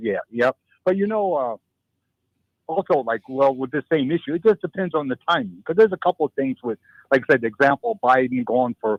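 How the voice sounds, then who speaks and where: With an unremarkable speaking voice, a man speaks at a moderate pace using lively intonation. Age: 60s. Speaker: radio show guest. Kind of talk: radio talk show discussion.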